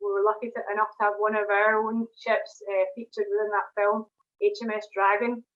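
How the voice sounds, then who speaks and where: At a moderate pace, a woman speaks with a Scottish accent in a fairly high pitch. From Scotland, Glasgow. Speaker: propulsion engineer. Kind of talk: online presentation. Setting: video call. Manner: hesitant, many fillers.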